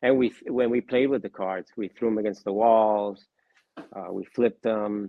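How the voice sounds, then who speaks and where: This man has a normal speaking voice, fairly low in pitch, with fairly even intonation at a moderate pace. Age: 60s. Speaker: card collector and part-time dealer. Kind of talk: interview.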